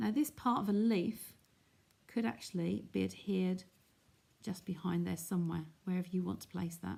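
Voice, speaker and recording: A woman's somewhat breathy voice, dark and mellow in tone and fairly low in pitch, with lively intonation, a moderate pace and long, frequent pauses. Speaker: craft demonstrator. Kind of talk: live craft tutorial. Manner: casual, chatty.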